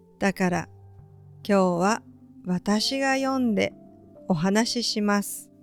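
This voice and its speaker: Music plays behind a woman speaking in a gentle, warm tone. She goes at a very slow pace with long, frequent pauses. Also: medium pitch for a woman, ordinary pitch variation. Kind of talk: read story. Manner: gentle, warm, calm.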